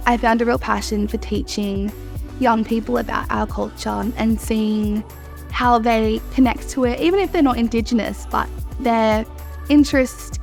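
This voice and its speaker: Music plays in the background as a woman speaks with an Australian accent. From Mornington Peninsula, Victoria, Australia. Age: 20s. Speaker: cultural educator. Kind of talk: interview answer.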